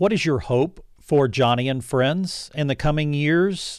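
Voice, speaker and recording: A man's plain, everyday voice, fairly high in pitch, with ordinary pitch variation at a fairly slow pace, in a very clean recording with a silent background. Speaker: radio host. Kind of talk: radio interview.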